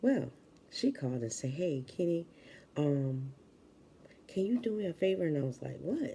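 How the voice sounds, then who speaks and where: The tone is dark and mellow, soft-spoken with lively intonation. The pace is moderate. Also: woman. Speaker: vlogger. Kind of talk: casual chat.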